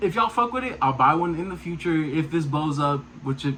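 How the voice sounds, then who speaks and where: The speaker is a man with a fairly high pitch. He talks at a fairly quick pace. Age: young. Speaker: car vlogger. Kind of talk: casual vlog monologue. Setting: walking around, self-filmed. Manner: mumbling; casual, halting with fillers.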